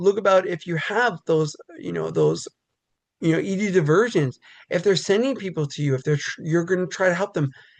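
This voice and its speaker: The speaker talks at a moderate pace with an American accent over a quiet background. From New York City. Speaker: pediatric physician, regional medical officer. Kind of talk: webinar presentation. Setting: online webinar. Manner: loud; conversational, many filler words.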